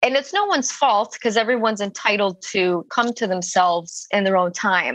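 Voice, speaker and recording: A woman with a plain, everyday voice speaks at a fairly quick pace with hardly any pauses, her fairly high pitch showing ordinary variation and her loudness very even. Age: 20s. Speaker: caller seeking advice. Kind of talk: casual chat. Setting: phone call.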